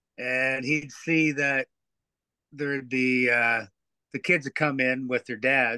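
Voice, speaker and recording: A man talks with a rural Ontario accent. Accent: Canadian (rural Ontario). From Ontario, Canada (Teeswater). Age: 60s. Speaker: amateur hockey player and coach, fishing guide. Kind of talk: casual chat. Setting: shed.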